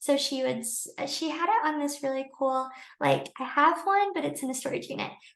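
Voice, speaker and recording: Soft-spoken and high-pitched, a woman talks. She keeps a moderate pace. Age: 20s. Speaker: teacher. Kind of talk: tutorial. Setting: livestream.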